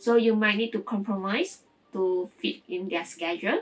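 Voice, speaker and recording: A woman with a Mandarin accent speaks at a fairly slow pace, her medium pitch showing ordinary variation, with music playing in the background. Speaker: vlogger and online language tutor. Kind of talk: casual vlog talk to camera. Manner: conversational with fillers and false starts.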